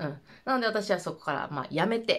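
A woman with vocal fry speaks at a fairly quick pace with very wide pitch swings. The background is quiet. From Japan. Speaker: vlogger. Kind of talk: casual monologue. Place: home room.

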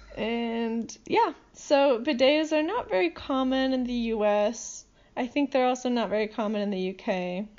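Against noticeable background noise, a woman with an American accent speaks at a fairly slow pace in a high pitch with ordinary pitch variation. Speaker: podcast host, language enthusiast. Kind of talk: casual chat.

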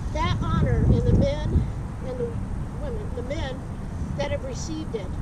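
The speech moves at a moderate pace. The sound is dry with no echo, but the background noise is loud. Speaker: police deputy chief. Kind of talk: motivational pep talk to recruits. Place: open country.

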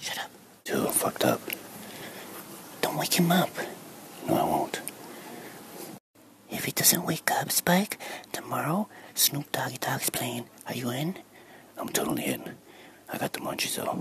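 A man puts on a raspy character voice, fairly high in pitch, moving at a moderate pace with long, frequent pauses. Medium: role play. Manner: sassy, deadpan.

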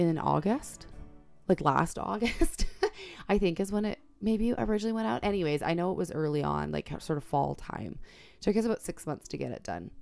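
Faint music plays behind a woman speaking at a fairly quick pace. Her tone is enthusiastic. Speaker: art journaler. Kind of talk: casual voice-over flip through. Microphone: studio mic.

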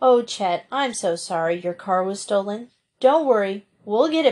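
Someone is reading aloud in a natural voice with lively intonation. The background stays quiet.

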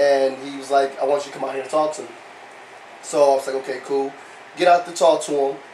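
A man with a fairly high voice talks at a very fast pace in a monotone, flat intonation, with long, frequent pauses and big swings in loudness, over light background noise and audible room echo. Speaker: former prisoner. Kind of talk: testimony. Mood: earnest, reflective. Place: hall. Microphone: handheld.

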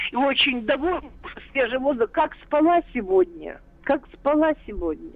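The pace is moderate. Intonation is lively. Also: woman, high pitch for a woman. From Russia, Kirov. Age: 70s. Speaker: retired biologist, caller. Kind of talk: listener testimony. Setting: phone call.

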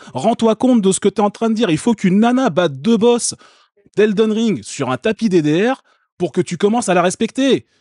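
Against a quiet background, a man speaks at a moderate pace with a high pitch and lively intonation. His tone is dark and mellow, and the sound is dry and close, with no echo. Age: 30s. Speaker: streamer reacting to a video. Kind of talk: casual live-stream commentary.

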